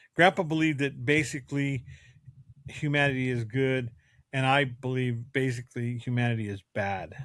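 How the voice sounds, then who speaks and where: A man with a plain, everyday voice, medium pitch, ordinary pitch variation and moderate pace, on a very clean recording with a silent background. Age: 60s. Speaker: father co-host of a family podcast. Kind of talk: casual family discussion podcast.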